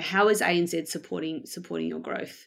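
In a very clean recording with a silent background, a woman speaks in a fairly low voice. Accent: Australian. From Australia, Melbourne. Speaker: head of design operations at a bank. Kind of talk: interview.

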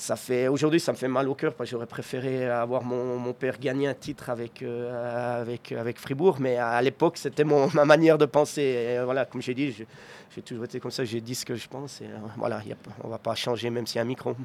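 Fairly even intonation marks a man talking at a fairly quick pace. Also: medium pitch for a man. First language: Swiss German (speaking French). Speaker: ice hockey coach. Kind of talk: interview. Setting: arena box.

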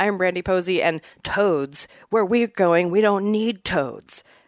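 A put-on character voice, female-sounding, at a medium pitch and fairly slow pace, in a very clean recording with a silent background

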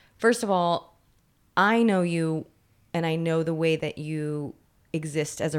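A woman's voice with a very deep, low pitch. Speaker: writer, actor and producer, friend of guest. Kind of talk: casual interview chat.

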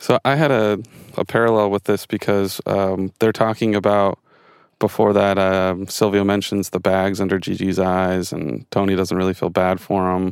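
A raspy man's voice, fairly low in pitch with fairly even intonation, comes through a dry, close sound with no echo on a very clean recording with a silent background. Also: moderate pace. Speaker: podcast co-host. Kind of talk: casual chat.

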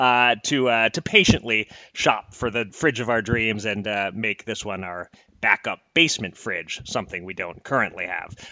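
A man's unremarkable speaking voice with an American accent, medium pitch, ordinary pitch variation and a moderate pace. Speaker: podcast host. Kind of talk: casual conversational podcast.

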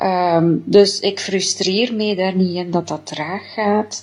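Very slowly, this woman talks at a medium pitch. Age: 40s. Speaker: diet product customer giving testimonial. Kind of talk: testimony. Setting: self-recorded video.

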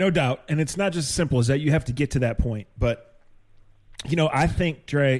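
A man talks at a fairly quick pace with ordinary pitch variation in a plain, everyday voice. The recording is very clean, with a silent background. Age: 50s. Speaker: sports podcast host. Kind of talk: casual chat.

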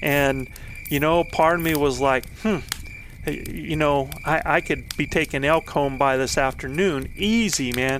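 An unremarkable speaking voice from a man, fairly slow in pace, with ordinary pitch variation and very even loudness. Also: fairly high pitch for a man. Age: 50s. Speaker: elk hunting coach and podcast host. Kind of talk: storytelling monologue.

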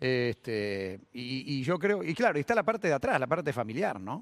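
A man's medium-pitched voice with a Rioplatense accent. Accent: Argentine Spanish (rioplatense). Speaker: sports radio host. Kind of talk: interview. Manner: halting.

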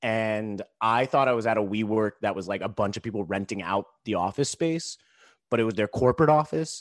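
A normal speaking voice at a fairly quick pace with ordinary pitch variation, in a dry, close sound with no echo over a quiet background. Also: man, fairly low pitch for a man. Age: 30s. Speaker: stand-up comedian and social entrepreneur. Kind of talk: casual interview.

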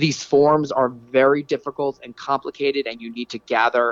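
This man has a normal speaking voice, pitched fairly high and delivered at a fairly quick pace. The sound is dry and close, with no echo. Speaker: city council candidate. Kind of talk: interview.

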